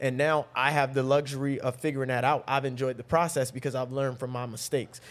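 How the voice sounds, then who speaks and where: Talking very fast in a flat monotone, a man with a fairly high voice speaks with an American accent. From North Carolina, Raleigh. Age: 30s. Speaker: relationship coach. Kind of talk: casual chat.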